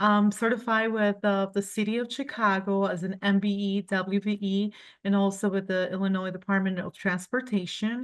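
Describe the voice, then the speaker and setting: A woman's medium-pitched voice in a flat monotone, with hardly any pauses. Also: moderate pace. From Colombia. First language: Spanish. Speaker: cleaning company owner. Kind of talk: business presentation. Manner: halting.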